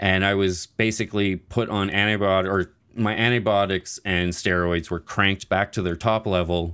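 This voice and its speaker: With a Maritime Canadian accent, a man speaks at a moderate pace in a fairly low pitch, his intonation monotone and flat, his loudness very even, with hardly any pauses. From Nova Scotia, Canada. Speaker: IBD advocate and gaming fundraiser founder. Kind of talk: interview.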